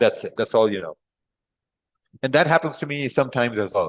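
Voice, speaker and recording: With a Pakistani accent, a man speaks at a medium pitch in a dry, close sound with no echo. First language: Urdu. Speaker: trading teacher. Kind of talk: live class. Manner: casual.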